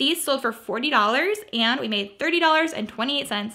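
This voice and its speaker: With lively intonation, a woman talks at a fairly quick pace in a raised, projected voice. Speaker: thrift reseller vlogger. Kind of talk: casual vlog chat. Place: home room. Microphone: phone near.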